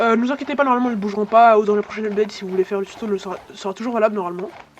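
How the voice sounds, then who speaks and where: Through noticeable background noise, the words come at a very fast pace. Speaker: gaming YouTuber. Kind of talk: gameplay tutorial. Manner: halting.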